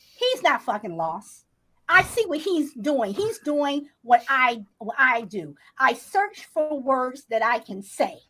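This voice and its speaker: A woman speaks very slowly in a raised, projected voice with a high pitch. Her tone is bright and sharp, and her pitch swings very widely. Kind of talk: heated debate. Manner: halting.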